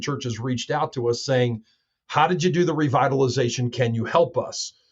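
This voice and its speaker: A man speaks quickly, though only fairly so, in a somewhat breathy voice. His pitch is medium with ordinary variation. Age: 60s. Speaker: pastor. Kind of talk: podcast interview. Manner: many fillers.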